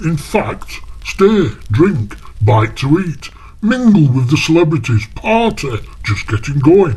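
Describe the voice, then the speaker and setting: Over light background noise, a put-on character voice moves at a fairly slow pace with very wide pitch swings. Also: man, fairly high pitch for a man. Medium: read story. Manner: breathless, clipped fragments.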